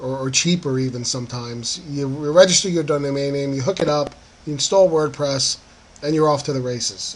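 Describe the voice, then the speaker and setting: There is noticeable background noise behind a man with an American accent. His pitch is fairly high and his pace fairly quick. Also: ordinary pitch variation. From northern New Jersey. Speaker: online marketing affiliate blogger. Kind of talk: screen-capture tutorial monologue. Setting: screen recording. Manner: casual with many fillers (um, uh).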